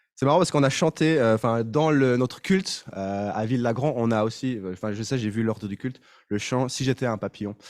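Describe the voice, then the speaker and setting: On a very clean recording with a silent background, a man with a slight Swiss French accent speaks fairly quickly at a medium pitch with ordinary pitch variation. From Switzerland. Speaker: pastor. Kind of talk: sermon. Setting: church. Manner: halting.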